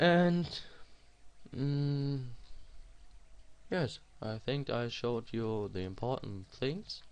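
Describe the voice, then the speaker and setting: Speaking very slowly with long, frequent pauses, a man with a strong non-native accent uses lively intonation at a medium pitch. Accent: non-native English, self-described strong. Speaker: programming tutorial creator. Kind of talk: screen-recorded coding tutorial. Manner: halting, with fillers.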